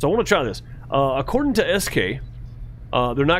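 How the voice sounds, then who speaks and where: With an American accent, a man speaks in lively intonation over noticeable background noise and audible room echo. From Mississippi, US South. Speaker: gaming streamer. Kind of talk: casual live-stream chat. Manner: casual, hesitant with fillers.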